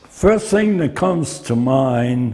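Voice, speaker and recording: Somewhat breathy male speech, dark and mellow in tone. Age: 90s. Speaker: war veteran. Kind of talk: testimony.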